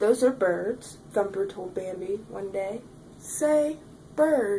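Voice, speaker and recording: Amid clear background noise, a woman puts on a character voice at a medium pitch and a very slow pace. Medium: read story. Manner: lively, chatty.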